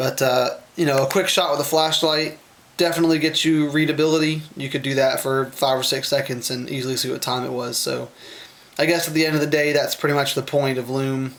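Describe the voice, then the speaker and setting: A man speaks at a fairly quick pace in a fairly high pitch. His intonation is flat and monotone, with noticeable background noise. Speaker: watch reviewer. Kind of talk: product review video. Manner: halting, many fillers; casual, unscripted.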